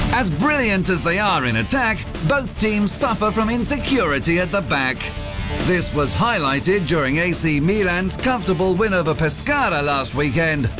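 Over music in the background, a man speaks at a high pitch and moderate pace with very wide pitch swings and very even loudness. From British. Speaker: voice actor. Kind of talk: sports TV commentary. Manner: loud, energetic.

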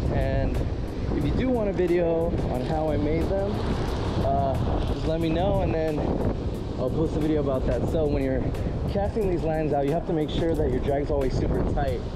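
Speech moves along at a fairly quick pace. Music plays in the background. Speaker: fishing vlogger. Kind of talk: casual vlog chat. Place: beach. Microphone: phone near.

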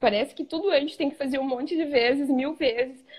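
Over a quiet background, a woman talks. Her pitch is high. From southern Brazil (Rio Grande do Sul). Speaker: image consultant student. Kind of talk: live stream interview. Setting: live video stream. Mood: reflective, warm. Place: home room. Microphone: video call.

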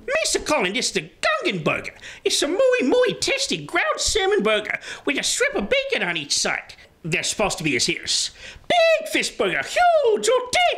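An extremely high-pitched, cartoonish character voice. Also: moderate pace. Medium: puppet show.

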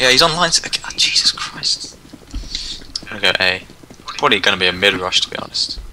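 Very fast whispering broken by long, frequent pauses, over noticeable background noise. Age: 20s. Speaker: gamer. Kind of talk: gameplay chat. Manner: animated.

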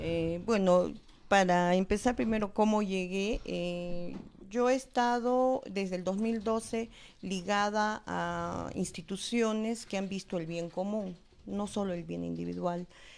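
A woman at a very slow pace with fairly even intonation. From Peru. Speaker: political candidate, dentist; candidate. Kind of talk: election debate. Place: studio. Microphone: handheld.

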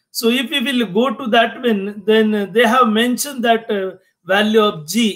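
A man speaks at a fairly slow pace with a high pitch and ordinary pitch variation. The background is quiet. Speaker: engineering lecturer. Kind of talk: lecture. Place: home room. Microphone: webcam.

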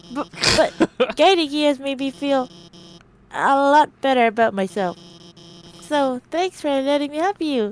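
A female-sounding, high-pitched put-on character voice. Long, frequent pauses break up the speech. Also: moderate pace. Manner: nervous, earnest, stammering.

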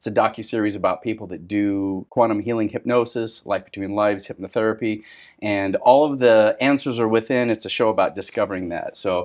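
With a plain, everyday voice, a man speaks at fairly low pitch with fairly even intonation and hardly any pauses against a quiet background. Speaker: podcast host. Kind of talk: interview intro and conversation. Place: office.

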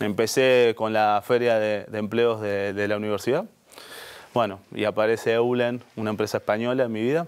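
Fairly even in intonation, a man talks at a moderate pace. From Buenos Aires, Argentina; Argentina. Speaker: HR director; guest. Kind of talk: interview conversation. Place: studio. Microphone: lapel.

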